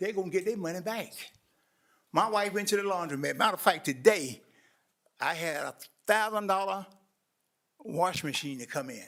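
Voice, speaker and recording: The speaker moves at a moderate pace with long, frequent pauses, ordinary pitch variation, and big swings in loudness. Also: man. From US South, eastern North Carolina (Roseboro). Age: 70s. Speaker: community watch president, public speaker. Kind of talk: public comment at a government meeting. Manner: earnest, impassioned.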